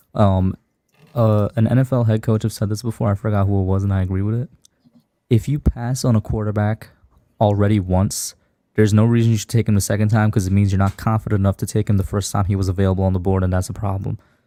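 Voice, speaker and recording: A quiet man with a dark, mellow tone and fairly low pitch, very fast delivery, fairly even intonation, and a dry, close sound with no echo. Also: very clean recording, silent background. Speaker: sports fan panelist. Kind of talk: casual sports debate.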